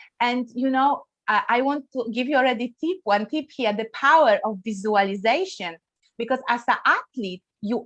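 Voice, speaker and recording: A woman with a Polish accent speaks at a fairly slow pace, her fairly high voice carried by lively intonation. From Poland. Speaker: wellness coach. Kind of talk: interview. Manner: hesitant, many fillers.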